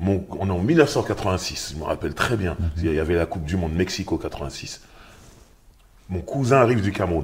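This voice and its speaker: Against noticeable background noise, a man with a very deep, low pitch speaks at a moderate pace with lively intonation and long, frequent pauses. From Paris suburbs (Sarcelles). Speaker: rapper and author. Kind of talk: casual interview. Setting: bookshop cultural space.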